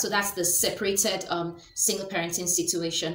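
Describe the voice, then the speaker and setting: With audible room echo, a woman speaks in a Nigerian accent. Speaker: lifestyle vlogger. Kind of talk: educational talk to camera. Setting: home video recording. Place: home room. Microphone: webcam.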